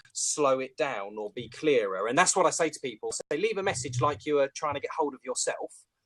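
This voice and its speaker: A man with a British accent, fairly quick pace and very wide pitch swings, in a dry, close sound with no echo. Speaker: professional speaker and phone sales trainer. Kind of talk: casual chat. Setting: video call. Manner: camp on the phone; fast.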